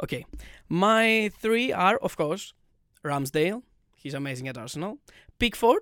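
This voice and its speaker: In a non-native accent, a man speaks at a moderate pace with a high pitch, very wide pitch swings, big swings in loudness and long, frequent pauses. His tone is bright and sharp, and the sound is dry and close with no echo on a very clean recording with a silent background. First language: not English. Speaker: football podcast co-host. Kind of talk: casual chat.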